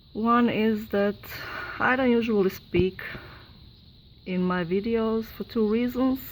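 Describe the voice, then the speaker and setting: A woman with a non-native accent speaks very slowly at a fairly high pitch, her intonation fairly even and her speech broken by long, frequent pauses. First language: not English. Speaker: YouTuber debunking sky videos. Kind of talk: casual video commentary. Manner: halting, hesitant.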